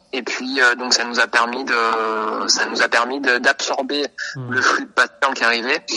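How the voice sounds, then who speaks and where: A man's voice with a dry, close sound with no echo, plus noticeable background noise. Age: 30s. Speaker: radiographer. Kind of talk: interview. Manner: halting, many hesitations.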